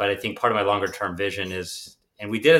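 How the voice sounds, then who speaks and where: A bright, sharp tone marks this man's voice. He talks with an American accent. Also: very clean recording, silent background. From US, Pittsburgh. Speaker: tech entrepreneur. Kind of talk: interview.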